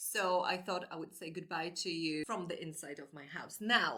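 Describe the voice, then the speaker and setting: Speaking in a Polish accent, a woman with a bright, sharp tone and medium pitch keeps a moderate pace. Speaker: book vlogger. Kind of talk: casual monologue. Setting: indoors at home; outdoors in garden.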